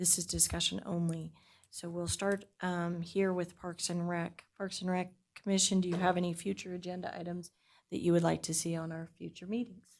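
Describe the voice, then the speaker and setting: A woman speaks in a fairly low pitch with a flat, monotone delivery. The recording is very clean, with a silent background. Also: moderate pace. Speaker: committee chair. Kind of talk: public meeting.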